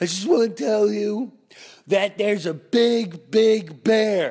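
At a fairly slow pace, a put-on character voice shows ordinary pitch variation. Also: man, high pitch for a man. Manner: alarmed, urgent.

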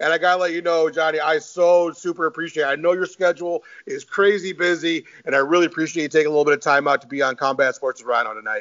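Talking very fast with hardly any pauses, a man speaks in a high pitch with an American accent. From Michigan, US Midwest. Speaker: podcast host. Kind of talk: casual chat. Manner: animated.

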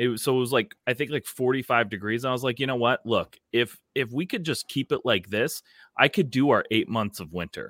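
With an American accent and an unremarkable speaking voice, a man talks at a medium pitch and a fairly quick pace with ordinary pitch variation, recorded dry and close with no echo on a very clean, silent background. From Minnesota. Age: 30s. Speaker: music promoter. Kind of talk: casual chat.

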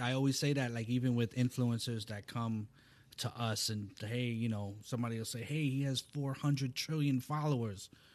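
A man with a plain, everyday voice talks at a moderate pace and a medium pitch, his intonation fairly even. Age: 40s. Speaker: talent manager. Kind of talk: casual interview chat. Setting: studio.

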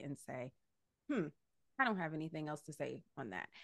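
A woman speaks with a very deep, low pitch and lively intonation. The recording is very clean, with a silent background. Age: 30s. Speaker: podcaster. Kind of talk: casual chat.

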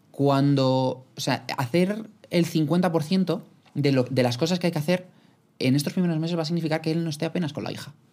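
A man speaks at a moderate pace with a fairly high pitch. His tone is dark and mellow, and his pitch varies in an ordinary way. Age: 20s. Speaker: podcaster. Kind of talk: casual chat.

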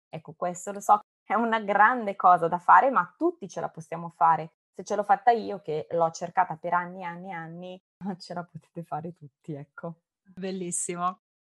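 Recorded dry and close with no echo, a woman with a fairly low pitch speaks at a moderate pace with fairly even intonation and big swings in loudness. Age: 30s. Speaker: primary school teacher and singer with cancer. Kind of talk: interview testimony.

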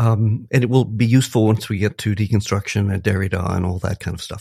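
A man speaks at a fairly quick pace with a somewhat breathy, medium-pitched voice on a very clean recording with a silent background. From US, moved around (Minnesota, California, Illinois, Texas). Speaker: philosophy professor. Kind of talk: interview.

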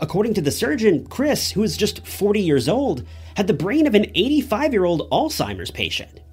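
Over music in the background, a man speaks in a solemn, serious tone at a moderate pace. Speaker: true crime YouTuber. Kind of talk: true-crime narration. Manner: solemn, measured, serious storytelling tone; casual, direct asides to viewers.

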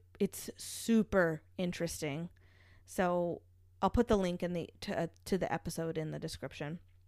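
Heard in a very clean recording with a silent background, a woman with an unremarkable speaking voice talks at a medium pitch and a moderate pace. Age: 30s. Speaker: podcast co-host. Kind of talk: casual chat with true crime storytelling.

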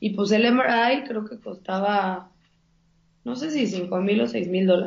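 A woman speaks in a Mexican accent at a very slow pace. Her voice is somewhat breathy. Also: medium pitch for a woman, ordinary pitch variation. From Mexico. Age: 30s. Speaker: plant-based chef. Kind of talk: casual interview. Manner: animated.

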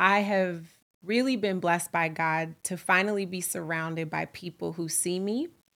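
In an American accent, a woman with an ordinary speaking voice talks at a fairly slow pace, her fairly low pitch held to a fairly even intonation, on a very clean recording with a silent background. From US West Coast (Oakland, California). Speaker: podcast host and nonprofit founder. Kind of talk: solo monologue podcast, casual. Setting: home recording, live with friends.

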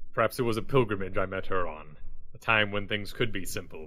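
At a fairly quick pace, a man performs a put-on character voice in a fairly low pitch. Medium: actual play. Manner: formal, stiff diction.

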